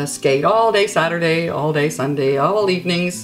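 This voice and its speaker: Over music in the background, a woman with a New Brunswick accent speaks at a moderate pace with lively intonation. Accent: Atlantic Canadian (New Brunswick). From Gray Rapids, New Brunswick, Canada. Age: old. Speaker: storyteller. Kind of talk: casual reminiscence, interview answer.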